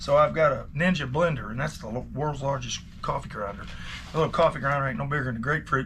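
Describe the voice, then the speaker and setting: Talking at a very fast pace, a man uses a fairly high voice with vocal fry and a bright, sharp tone. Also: ordinary pitch variation. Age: 50s. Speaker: watch repairer. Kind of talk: casual vlog talk. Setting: repair shop. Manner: relaxed, rambling with many fillers.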